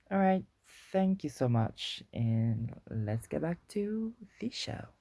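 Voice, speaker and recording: Over a silent background in a very clean recording, a woman speaks very slowly in a very deep, low pitch with a dark, mellow tone and very wide pitch swings. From Guadeloupe. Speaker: podcast host. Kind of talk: casual podcast monologue. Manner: hesitant, many fillers and restarts; chatty, playful.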